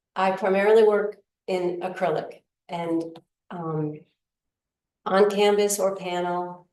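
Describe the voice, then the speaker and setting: A woman speaks very slowly at a medium pitch, in a flat monotone. She leaves long, frequent pauses, and room echo is audible. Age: 60s. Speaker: painter. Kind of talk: interview. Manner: halting.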